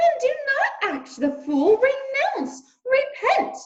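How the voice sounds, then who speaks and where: Squeaky and extremely high-pitched, this put-on character voice moves at a very slow pace with very wide pitch swings. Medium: read story. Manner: exclamatory, theatrical.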